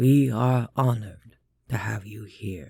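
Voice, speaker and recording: At a fairly slow pace, a man uses a resonant put-on character voice at medium pitch with ordinary pitch variation. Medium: read story. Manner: placid, formal, measured.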